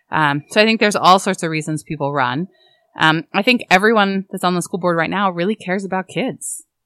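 A woman with an American accent speaks in a plain, everyday voice, fairly low-pitched for a woman with ordinary pitch variation, recorded very cleanly with a silent background and a dry, close sound with no echo. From Oregon. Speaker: school board chair. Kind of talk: interview.

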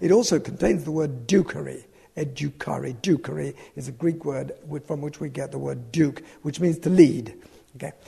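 A man with a British accent speaks with big swings in loudness. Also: moderate pace. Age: 70s. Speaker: businessman and adventurer. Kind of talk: reflective interview.

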